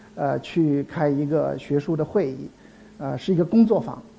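A man speaks at a moderate pace with a fairly high pitch, a dark, mellow tone and ordinary pitch variation. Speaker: anthropology professor. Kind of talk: public lecture. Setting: stage with audience. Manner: halting, many filler sounds.

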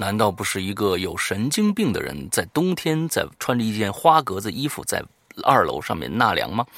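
Pitch swings very widely around a medium level for this man. He keeps a moderate pace. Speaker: podcast host of ghost story show. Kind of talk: casual chat.

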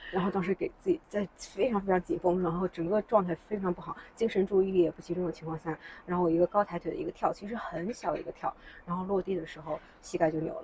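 Speaking at a very fast pace with fairly even intonation, a woman's voice makes big swings in loudness. Background noise is noticeable. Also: medium pitch for a woman. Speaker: founder of a fitness community. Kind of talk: casual interview. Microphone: farther from mic, quieter than host.

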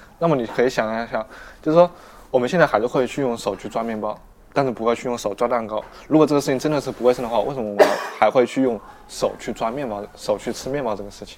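Here a man speaks very fast at a medium pitch with ordinary pitch variation. His loudness swings widely, and background noise is noticeable. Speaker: sociology graduate student. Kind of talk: casual chat. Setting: restaurant cafe.

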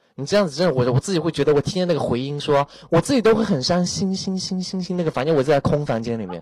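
The speech races along at a very fast pace with lively intonation and hardly any pauses. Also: man, fairly high pitch for a man. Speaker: internet celebrity making a surprise visit to a voice chat room. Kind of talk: casual chat. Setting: online voice chat room. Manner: animated. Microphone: echo without earphones.

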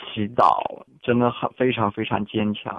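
A man speaking at a fairly slow pace. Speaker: international student. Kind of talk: interview. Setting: phone call.

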